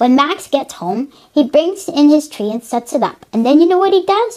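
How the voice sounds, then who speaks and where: A woman talks in a put-on character voice. Her pace is moderate. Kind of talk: children's storybook reading. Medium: read story. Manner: chatty, asks the listener questions.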